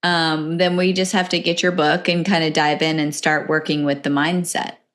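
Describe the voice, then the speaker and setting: On a very clean recording with a silent background, a woman with a fairly low pitch speaks at a moderate pace in a monotone, flat intonation, her loudness very even. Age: 40s. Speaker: podcast host. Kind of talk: podcast interview.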